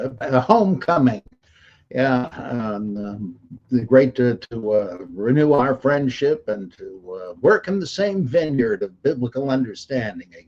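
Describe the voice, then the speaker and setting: Here a man with an American accent speaks at a fairly slow pace and medium pitch. His pitch swings very widely and his loudness swings a lot. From US South, Mississippi (to age 10). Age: 70. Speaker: Bible scholar. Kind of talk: personal testimony. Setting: livestream. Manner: halting, many fillers.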